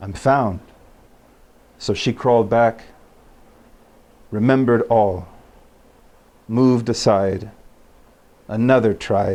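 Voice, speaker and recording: Pausing long and often, a man with an American accent speaks very slowly with fairly even intonation. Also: medium pitch for a man. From Utah. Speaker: poet. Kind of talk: poetry reading.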